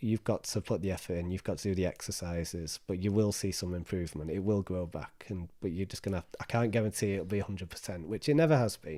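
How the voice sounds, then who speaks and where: Speaking at a very fast pace with a northern English accent, a man uses a fairly low pitch and a dark, mellow tone with ordinary pitch variation, in a very clean recording with a silent background. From northern England. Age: 30s. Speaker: mental health charity trustee. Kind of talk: interview. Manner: repetitive, halting.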